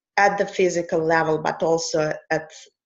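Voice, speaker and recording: A woman speaks at a fairly low pitch. Her pace is fairly slow and her intonation monotone and flat. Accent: Russian. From Russia. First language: Russian. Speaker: coach. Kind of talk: conversational interview.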